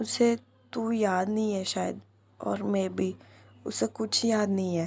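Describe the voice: A plain reading-aloud voice with ordinary pitch variation.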